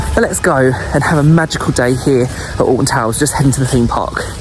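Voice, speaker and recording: A man speaks with an Essex accent and ordinary pitch variation. Background noise is noticeable. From Essex, England. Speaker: travel and theme park vlogger. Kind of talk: vlog narration. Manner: animated.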